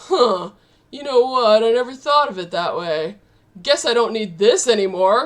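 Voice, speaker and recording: A put-on character voice, female-sounding and fairly high in pitch, runs at a moderate pace. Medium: game stream. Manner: casual, offhand.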